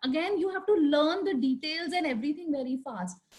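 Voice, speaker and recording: An Indian accent at a fairly quick pace. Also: woman. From India, Delhi. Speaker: architect. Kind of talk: panel discussion. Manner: loud; hesitant, many fillers.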